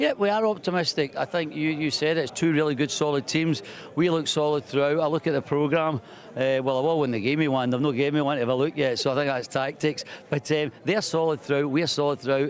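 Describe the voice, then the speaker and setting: Over noticeable background noise, a man with a Scottish accent speaks very fast at a fairly high pitch, his loudness very even and his pitch variation ordinary. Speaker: speedway team manager. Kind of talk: pre-match interview.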